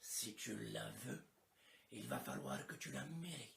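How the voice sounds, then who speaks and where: A man puts on a character voice with a very deep, low pitch. His pace is fairly slow. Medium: fan dub. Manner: cranky, weary.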